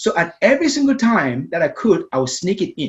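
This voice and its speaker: A man with a Cameroonian accent talks at a fairly quick pace, his pitch swinging very widely. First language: Meta. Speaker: storytelling coach and speaker. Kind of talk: interview conversation. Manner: repeats words, some hesitation.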